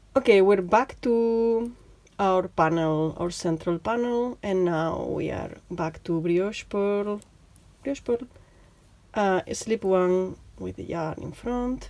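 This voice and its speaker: A woman's dark, mellow tone at a very slow pace, in a Spanish accent with ordinary pitch variation. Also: medium pitch for a woman. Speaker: knitting teacher. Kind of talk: tutorial. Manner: chatty; halting, many fillers.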